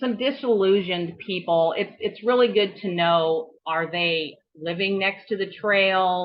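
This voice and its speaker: A woman at a fairly slow pace in an ordinary speaking voice, with ordinary pitch variation. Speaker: trail volunteer organizer. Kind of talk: webinar presentation.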